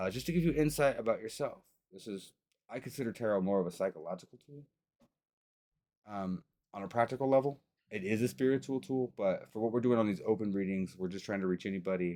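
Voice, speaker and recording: A man talks at a very fast pace with lively intonation. His tone is dark and mellow. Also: medium pitch for a man. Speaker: tarot reader and vlogger. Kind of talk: casual chat during tarot reading livestream. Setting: home livestream. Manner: animated.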